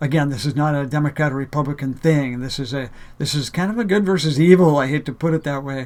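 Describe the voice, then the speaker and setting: Talking at a very fast pace, a man with a fairly high pitch shows ordinary pitch variation. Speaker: spiritual video blogger. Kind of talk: monologue to camera. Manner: halting with fillers.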